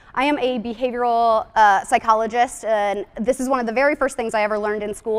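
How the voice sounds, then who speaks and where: Very fast delivery with ordinary pitch variation. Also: woman. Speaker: psychologist. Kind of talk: conference talk.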